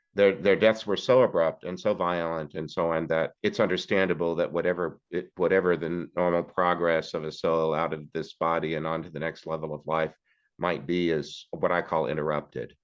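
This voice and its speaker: A man talks in a very deep, low voice at a moderate pace. He hardly pauses, and his intonation stays fairly even. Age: 60s. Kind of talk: interview. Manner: halting.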